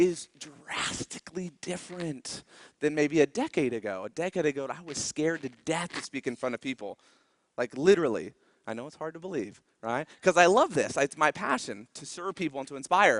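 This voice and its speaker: In a dry, close sound with no echo, a man with a fairly high pitch speaks at a fairly quick pace in an animated tone, with lively intonation and big swings in loudness. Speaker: motivational business speaker. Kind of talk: stage talk. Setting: stage with audience. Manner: fast.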